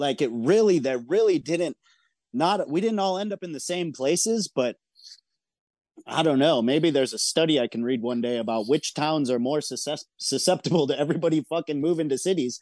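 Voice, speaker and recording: Speaking fairly quickly with lively intonation, a man with a plain, everyday voice and a fairly high pitch is recorded dry and close with no echo against a quiet background. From Michigan, small town. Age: 40s. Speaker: record label owner. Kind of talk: casual interview.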